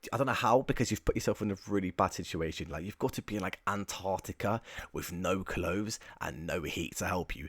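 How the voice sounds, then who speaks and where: In an English accent, a man speaks at a fairly quick pace in a fairly low voice with ordinary pitch variation. The sound is dry and close with no echo, a very clean recording over a silent background. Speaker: YouTuber ranking topics in tier lists. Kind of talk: casual video commentary. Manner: casual, chatty with filler words.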